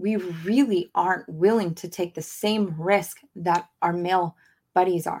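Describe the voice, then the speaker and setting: A woman's passionate, animated voice at medium pitch, fairly slow, with ordinary pitch variation. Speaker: podcast host. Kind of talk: pep talk; podcast monologue. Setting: podcast, video screen-share. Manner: passionate, urgent, motivational; animated, emphatic, direct address.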